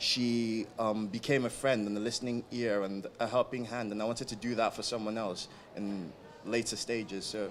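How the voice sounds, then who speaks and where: Over noticeable background noise, a man speaks at a medium pitch and a moderate pace. His intonation is monotone and flat. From outside the UK. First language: not English. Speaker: student welfare volunteer. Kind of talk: interview. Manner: hesitant, many fillers.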